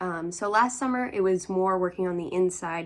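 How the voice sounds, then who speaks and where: A woman speaks quietly and very slowly at a fairly low pitch. The recording is very clean, with a silent background. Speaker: crafting vlogger. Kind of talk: casual chat. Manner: rambling, chatty.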